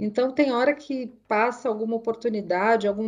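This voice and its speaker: Fairly high, dark and mellow, a woman's voice at a moderate pace against a quiet background. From Brazil, Mogi das Cruzes area (São Paulo state). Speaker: technology executive. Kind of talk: interview. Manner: halting, many fillers.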